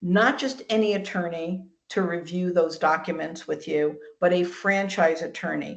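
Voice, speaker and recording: Fairly low in pitch, a woman speaks at a moderate pace in an unremarkable speaking voice with ordinary pitch variation. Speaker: franchising presenter. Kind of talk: webinar presentation. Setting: video call webinar.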